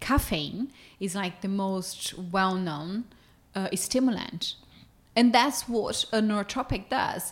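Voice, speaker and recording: In a very clean recording with a silent background, a woman with a Portuguese accent speaks very slowly, somewhat breathy, at a medium pitch with ordinary pitch variation. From Brazil. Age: 30s. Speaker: nutrition company co-founder. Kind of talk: casual interview conversation.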